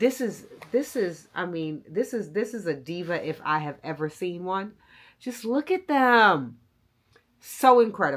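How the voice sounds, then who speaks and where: Loud and animated, a woman speaks at a fairly slow pace and a medium pitch with very wide pitch swings, captured in a very clean recording over a silent background. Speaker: style and luxury vlogger. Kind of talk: product review vlog.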